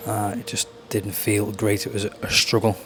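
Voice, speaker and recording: Fairly low male voice, with noticeable noise in the background. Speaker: fitness vlogger and coach. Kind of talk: casual vlog narration.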